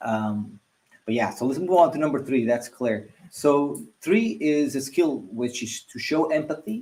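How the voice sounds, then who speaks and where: There is a dark, mellow tone to this man's voice as he talks at a fairly slow pace. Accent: non-native. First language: not English. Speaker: live stream host. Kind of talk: live stream discussion.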